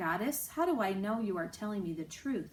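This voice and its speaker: A female-sounding, put-on character voice at a medium pitch. It moves at a fairly quick pace over clear background noise. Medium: read story.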